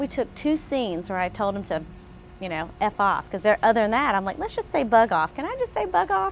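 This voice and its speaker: Noticeable background noise sits under a woman speaking with a Southern US accent at a fairly high pitch, a fairly quick pace and lively intonation. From US South, Atlanta. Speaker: actress. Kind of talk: interview testimony. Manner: hesitant.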